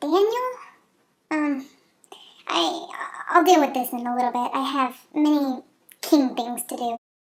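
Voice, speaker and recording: A woman's high-pitched put-on character voice with lively intonation and long, frequent pauses. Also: moderate pace. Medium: read story.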